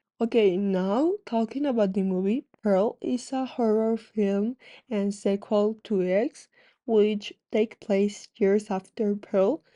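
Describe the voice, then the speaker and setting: A woman with a non-native accent, a fairly high pitch and a dark, mellow tone, at a very slow pace with ordinary pitch variation, dry and close with no echo over a quiet background. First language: not English. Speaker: gaming YouTuber. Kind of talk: casual vlog commentary.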